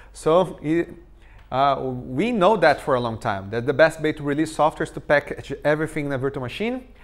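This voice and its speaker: A man with a Portuguese accent speaks at a fairly high pitch with lively intonation. The recording is very clean, with a silent background. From Brazil. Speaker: tech conference speaker. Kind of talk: technical talk.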